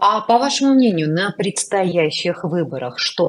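Speaking at a fairly slow pace, a woman uses a fairly low pitch. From Armenia. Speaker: news show host. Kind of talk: interview. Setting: studio. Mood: serious political discussion. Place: home room. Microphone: earbuds.

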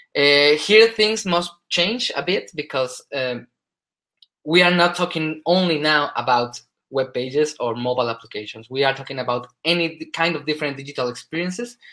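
A bright, sharp male voice, fairly high-pitched, with a Spanish accent, ordinary pitch variation and a moderate pace against a quiet background. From Spain. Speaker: solution specialist. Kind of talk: conference presentation. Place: home room. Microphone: webcam.

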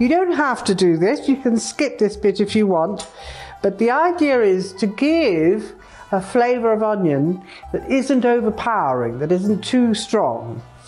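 Faint music plays in the background as a woman with a fairly high pitch talks at a fairly slow pace, her pitch swinging very widely while her loudness stays very even. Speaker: chef. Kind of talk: cooking demonstration to camera. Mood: warm, enthusiastic. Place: kitchen.

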